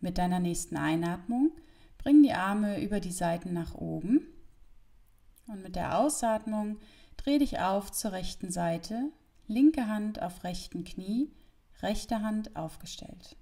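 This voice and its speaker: A somewhat breathy woman at a very slow pace, with long, frequent pauses, big swings in loudness, and a quiet background. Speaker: yoga instructor. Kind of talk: yoga class instruction. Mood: calm, friendly, relaxing. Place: home room. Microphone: lapel.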